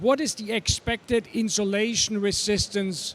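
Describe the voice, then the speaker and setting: A man with a slight German accent speaks at a fairly slow pace and a high pitch. The recording is very clean, with a silent background. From Germany. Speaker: electric vehicle repair expert. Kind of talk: trade show stage panel talk.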